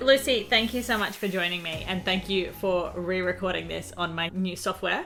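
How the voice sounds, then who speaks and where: Hardly any pauses break up this woman's moderate pace, her medium-pitched voice showing ordinary pitch variation. She speaks with an Australian accent over noticeable background noise. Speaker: podcast host. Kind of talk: interview. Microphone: new recording software.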